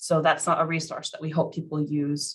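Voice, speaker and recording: With monotone, flat intonation, a woman speaks at a very deep, low pitch. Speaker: program staff presenter. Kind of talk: virtual information session presentation. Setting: video call.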